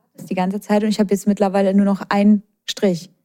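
A dark, mellow tone carries speech delivered at a very fast pace. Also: woman. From Schweinfurt, Lower Franconia. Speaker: podcast co-host. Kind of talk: casual chat.

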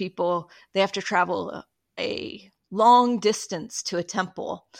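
With an American accent, a woman speaks fairly slowly in an ordinary speaking voice of medium pitch and ordinary pitch variation, against a quiet background. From Utah. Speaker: historian and podcast co-host. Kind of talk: casual chat.

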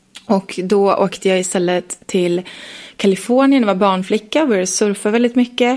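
Noticeable background noise sits behind a woman speaking at a moderate pace and medium pitch. Her loudness stays very even, with ordinary pitch variation. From Sweden, Leksand (Dalarna). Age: 30s. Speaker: entrepreneur and investor. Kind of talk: interview.

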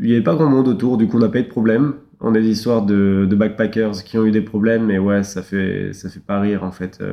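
This is a normal speaking voice from a man at a fairly low pitch. He moves at a fairly quick pace with fairly even intonation. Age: 20s. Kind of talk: casual chat.

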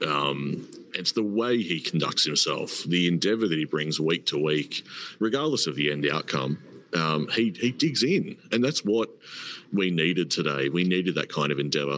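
A man with an Australian accent, very deep and low in pitch, at a moderate pace, with lively intonation and very even loudness. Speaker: podcast host. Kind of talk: casual live chat. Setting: hotel lobby, online audio space.

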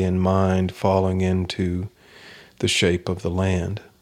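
In a Kentucky accent, a man speaks at a very slow pace with a very deep, low pitch on a very clean recording with a silent background. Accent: US Southern (Kentucky). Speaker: poet. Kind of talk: interview. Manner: halting.

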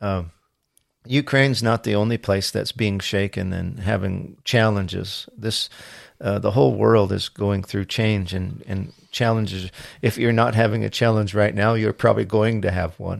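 A man speaks with fairly even intonation at a fairly low pitch. The recording is very clean, with a silent background. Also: moderate pace. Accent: American. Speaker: podcast host. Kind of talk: casual interview chat. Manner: hesitant, filler-heavy.

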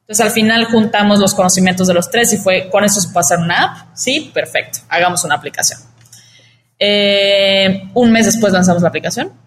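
At a fairly quick pace, the speech comes out somewhat breathy. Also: woman, medium pitch for a woman, ordinary pitch variation, very even loudness. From Mexico, Cancún. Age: 20s. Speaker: startup founder. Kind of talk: interview.

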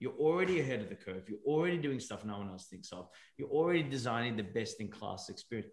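A very fast, somewhat breathy man's voice at medium pitch, with very wide pitch swings and big swings in loudness. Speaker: podcast host. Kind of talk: casual podcast interview. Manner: jokey, laughs often.

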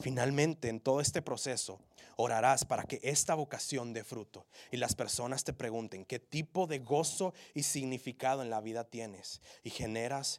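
With a plain, everyday voice, a man speaks at medium pitch and a moderate pace with ordinary pitch variation, on a very clean recording with a silent background. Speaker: preacher. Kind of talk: sermon. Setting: church. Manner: earnest, urgent, exhortative; direct, pleading with the congregation.

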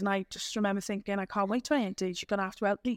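In a South Wales accent, a woman speaks very fast at a medium pitch with monotone, flat intonation, in a very clean recording with a silent background. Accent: Welsh (South Wales). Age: 30s. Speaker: community group founder. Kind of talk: podcast interview.

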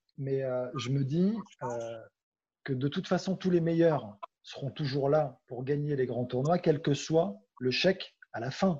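A man speaks with a somewhat breathy, dark and mellow tone, his voice fairly high in pitch with ordinary variation. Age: 30s. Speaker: sports journalist. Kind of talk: interview. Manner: hesitant.

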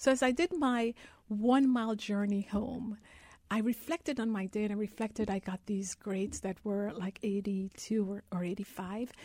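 Her voice is fairly high, dark and mellow, and somewhat breathy. The woman speaks at a fairly slow pace with ordinary pitch variation. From Guyana. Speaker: investment advisor. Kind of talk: radio interview. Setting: live radio on campus.

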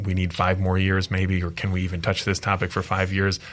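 This man's voice is very deep and low in pitch. He speaks with an American accent. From Michigan. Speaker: attorney. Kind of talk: interview discussion.

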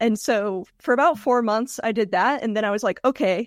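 On a very clean recording with a silent background, a woman with an American accent and an ordinary speaking voice talks at a fairly quick pace with ordinary pitch variation. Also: dry, close sound with no echo. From US South, Georgia. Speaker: web agency founder. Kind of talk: interview.

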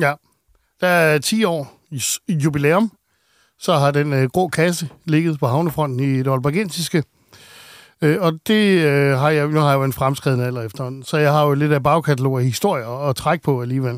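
A man speaks in a plain, everyday voice at a fairly high pitch, with ordinary pitch variation and a moderate pace, on a very clean recording with a silent background. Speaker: radio host. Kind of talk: casual chat.

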